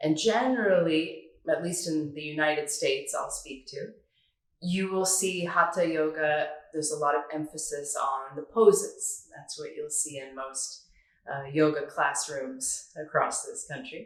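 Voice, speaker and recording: In a room with audible echo, a woman talks at a fairly slow pace in a Northern California accent. Her loudness swings widely. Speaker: yoga teacher. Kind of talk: tutorial.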